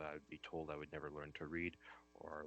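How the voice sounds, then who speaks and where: A man speaks at a moderate pace with a very deep, low pitch. The sound is dry and close, with no echo. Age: 20s. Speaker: staff accountant. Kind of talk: panel discussion. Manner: halting, many fillers.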